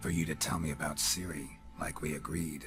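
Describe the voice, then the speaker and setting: Over clear background music, a man does a growling, put-on character voice at a fairly quick pace with very even loudness. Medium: video game. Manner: terse, deadpan.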